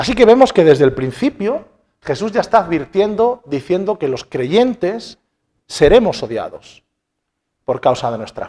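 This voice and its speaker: Dark and mellow in tone, this man's voice sits high in pitch. It swings very widely in pitch and heavily in loudness. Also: fairly slow pace. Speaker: pastor. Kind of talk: sermon.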